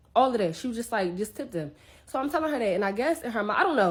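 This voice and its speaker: An animated tone comes through as this woman talks. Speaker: travel content creator. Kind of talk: storytime. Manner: fast.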